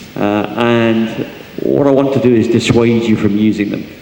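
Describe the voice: A man's medium-pitched voice, dark and mellow in tone, with vocal fry and audible room echo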